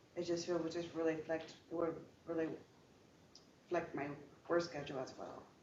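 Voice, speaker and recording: The speech comes at a fairly quick pace with long, frequent pauses, in a monotone, flat intonation with audible room echo. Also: woman, fairly low pitch for a woman. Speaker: prospective juror, healthcare worker. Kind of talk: courtroom testimony. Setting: courtroom. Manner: halting, repetitive.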